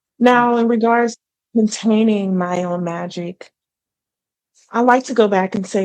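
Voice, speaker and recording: Soft-spoken and at a moderate pace, a woman talks with ordinary pitch variation. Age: 30s. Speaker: entrepreneur and former political candidate. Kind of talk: interview conversation.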